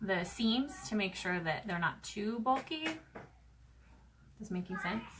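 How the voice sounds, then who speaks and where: A woman speaks at a fairly slow pace with a fairly high pitch and lively intonation. She leaves long, frequent pauses. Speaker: sewing crafter. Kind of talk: sewing tutorial. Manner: casual, chatty.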